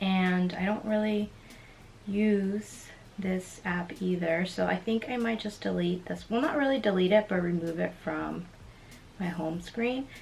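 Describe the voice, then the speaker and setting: Somewhat breathy, a woman speaks at a fairly slow pace and medium pitch, with ordinary pitch variation. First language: Spanish. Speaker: lifestyle YouTuber. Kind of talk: casual tech walkthrough vlog.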